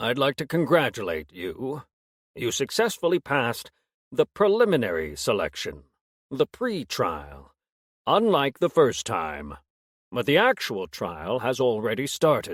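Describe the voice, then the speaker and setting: A man's put-on character voice at a moderate pace, in a very clean recording with a silent background. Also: medium pitch for a man. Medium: read story. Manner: weary, measured.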